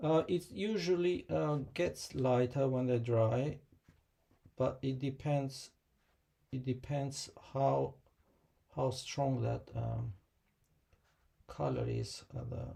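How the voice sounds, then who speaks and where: A man mumbles at a very slow pace. His speech is broken by long, frequent pauses. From Kosovo. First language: Albanian. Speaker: watercolor artist and teacher. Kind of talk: live painting tutorial and Q&A. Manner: hesitant, many fillers; mumbling.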